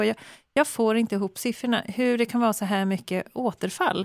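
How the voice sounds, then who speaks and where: On a very clean recording with a silent background and a dry, close sound with no echo, a woman speaks at a fairly quick pace in a fairly high voice with ordinary pitch variation. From Skåne, Sweden. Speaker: podcast host. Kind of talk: interview.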